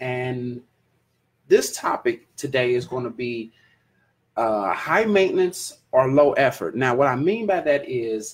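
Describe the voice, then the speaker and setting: This man's voice is somewhat breathy. He talks fairly slowly with lively intonation. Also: medium pitch for a man. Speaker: livestream podcast host. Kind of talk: casual livestream chat. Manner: casual, rambling with fillers.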